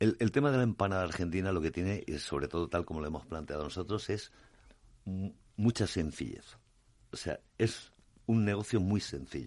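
With a very deep, low pitch, a man talks at a moderate pace. His intonation is lively, and the background is quiet. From Spain, Alicante. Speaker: franchise founder. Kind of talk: radio interview.

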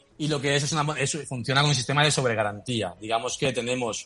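Speaking very fast with fairly even intonation, a man at medium pitch comes through noticeable background noise. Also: hardly any pauses. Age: 40s. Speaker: crypto startup founder. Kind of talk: interview.

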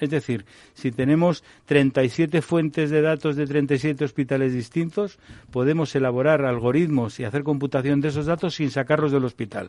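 Dark and mellow in tone, a man's fairly high voice shows ordinary pitch variation. He speaks at a moderate pace. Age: 60s. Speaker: doctor and health technology executive. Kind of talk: radio panel discussion.

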